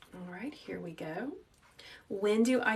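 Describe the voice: In a room with audible echo, a woman speaks in a calm, gentle tone at a medium pitch with ordinary pitch variation.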